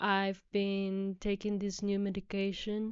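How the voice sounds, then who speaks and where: A woman with a non-native accent speaks at a fairly slow pace, her pitch sitting in the medium range. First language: not English. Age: 20s. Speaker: podcast host. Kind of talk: personal monologue.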